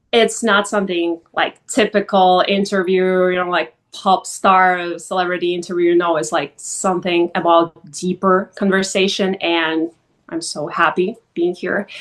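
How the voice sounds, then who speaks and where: Against a quiet background, a woman speaks at a fairly slow pace with hardly any pauses. Her medium-pitched voice stays monotone and flat. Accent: Russian. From Russia, Vladikavkaz. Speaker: model, influencer and actress. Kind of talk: podcast interview.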